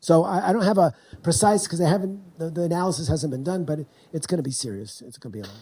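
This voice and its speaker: A man with an American accent and a high, dark, mellow-toned voice speaks at a very fast pace with big swings in loudness. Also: lively intonation. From US South, North Carolina. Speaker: professor. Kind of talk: lecture Q&A. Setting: university lecture hall with audience. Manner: halting, repeated false starts.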